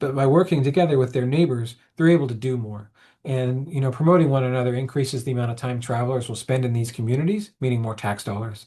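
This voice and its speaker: In a quiet background, a man with an American accent speaks at a very fast pace, his medium-pitched voice dark, mellow and somewhat breathy, with ordinary pitch variation. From Oklahoma. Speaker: historic preservation manager. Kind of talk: webinar presentation. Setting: webinar.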